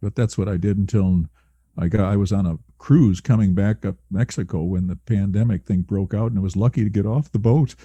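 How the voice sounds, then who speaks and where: With a dark, mellow tone and a somewhat breathy quality, a man talks at a fairly quick pace in a fairly low pitch with ordinary pitch variation, the sound dry and close with no echo over a quiet background. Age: 70s. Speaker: early retiree. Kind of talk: casual chat. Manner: halting.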